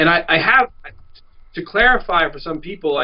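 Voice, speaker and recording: A man with a plain, everyday voice and an American accent, lively intonation, moderate pace. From New York. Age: 40s. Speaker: activist filmmaker. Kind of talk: interview.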